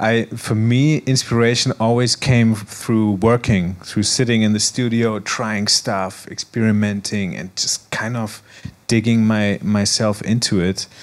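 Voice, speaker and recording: A man speaks at a fairly slow pace with hardly any pauses, a fairly low pitch and fairly even intonation, over noticeable background noise. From Germany, Frankfurt. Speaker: DJ and music producer. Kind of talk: panel interview. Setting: stage with audience.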